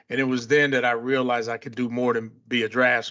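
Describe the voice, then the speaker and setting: The speaker has an American accent and a very fast pace. The intonation stays monotone and flat. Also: man. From US Midwest (Chicago, Ann Arbor). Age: 60s. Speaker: construction company president. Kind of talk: podcast interview.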